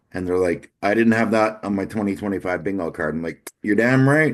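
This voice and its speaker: A man at a moderate pace, fairly low in pitch with ordinary pitch variation, over a quiet background. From Newfoundland, Canada. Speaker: podcast host. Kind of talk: casual chat. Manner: animated.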